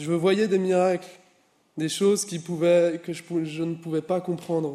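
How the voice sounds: This man's voice is dark and mellow, with a fairly high pitch. He talks at a fairly slow pace with fairly even intonation.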